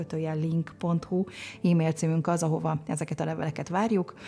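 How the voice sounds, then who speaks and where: Moving at a moderate pace, a woman speaks in a fairly low voice with a dark, mellow tone. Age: 50s. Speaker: podcast host. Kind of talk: podcast interview; show outro announcement.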